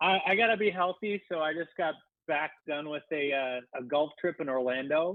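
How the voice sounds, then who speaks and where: A man with an American accent, moderate pace and ordinary pitch variation. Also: fairly high pitch for a man. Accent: slight Minnesota accent, comes out at times. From Minnesota. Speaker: digital marketing guest. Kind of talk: casual chat.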